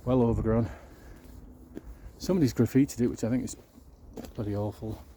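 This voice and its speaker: A man with a Yorkshire accent, medium-pitched and somewhat breathy, with a dark, mellow tone, ordinary pitch variation and a fairly quick pace. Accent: northern English (Yorkshire). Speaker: YouTube church tour vlogger. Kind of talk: casual walking vlog narration. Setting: outdoors.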